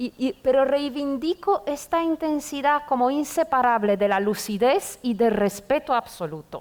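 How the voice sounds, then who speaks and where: Speaking with a Romanian accent, a high-pitched woman talks at a fairly slow pace with lively intonation and hardly any pauses over noticeable background noise. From Romania, Bucharest. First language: Romanian (speaking Spanish). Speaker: poet and literature professor. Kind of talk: literary conversation before an audience.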